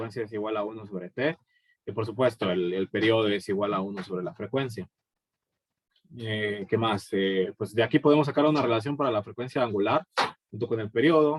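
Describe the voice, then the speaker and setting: A man with a fairly low voice talks fairly quickly, his pitch varying in an ordinary way. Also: dry, close sound with no echo. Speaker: physics teacher. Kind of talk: recorded lecture. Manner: fast; hesitant, many fillers.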